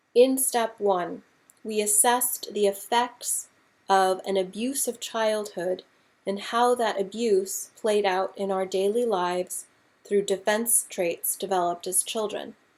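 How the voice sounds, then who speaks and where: A woman speaks in a plain, everyday voice at medium pitch. Her pace is fairly slow and her intonation fairly even. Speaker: audiobook-style reader / narrator. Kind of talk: recovery-book reading aloud.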